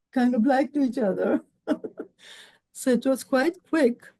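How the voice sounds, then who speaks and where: A woman's dark, mellow voice comes through somewhat breathy, recorded dry and close with no echo. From Mumbai, India. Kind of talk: interview answer.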